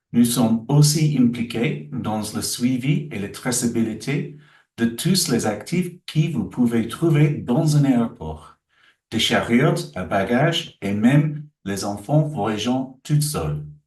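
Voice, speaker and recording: A man with a slight English accent speaks very slowly at a medium pitch. His intonation is lively and his voice somewhat breathy. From England. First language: English (speaking French). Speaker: aviation solutions executive. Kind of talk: webinar presentation. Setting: online webinar.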